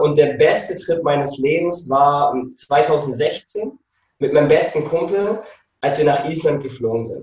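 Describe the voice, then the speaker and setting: A man speaks at a fairly slow pace in a somewhat breathy voice, fairly high in pitch, with ordinary pitch variation. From Germany. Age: 30s. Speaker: nutrition coach and photographer. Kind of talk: casual interview. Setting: video call. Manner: animated. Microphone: occasionally distorted.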